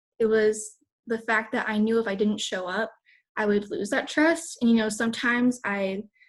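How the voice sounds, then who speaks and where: A woman with an American accent talks at a moderate pace in a fairly high, somewhat breathy voice. Her intonation stays fairly even. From Texas. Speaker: fitness coach. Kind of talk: motivational talk.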